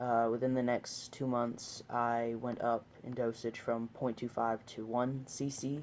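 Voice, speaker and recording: This man speaks at a fairly slow pace with hardly any pauses. His medium-pitched voice stays monotone, with flat intonation. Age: 20s. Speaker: vlogger sharing transition update. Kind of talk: casual video diary. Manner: hesitant, many fillers.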